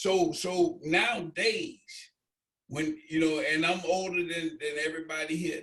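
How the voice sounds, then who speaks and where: Delivered at a moderate tempo, the speech shows ordinary variation in pitch. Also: man. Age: 60s. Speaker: football coach. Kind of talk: casual chat. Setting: video call. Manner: animated.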